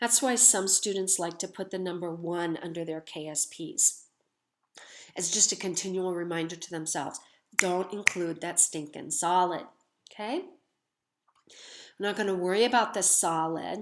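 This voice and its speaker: A medium-pitched woman at a moderate pace, fairly even intonation, with long, frequent pauses. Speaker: chemistry teacher. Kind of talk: lecture. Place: home room. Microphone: webcam.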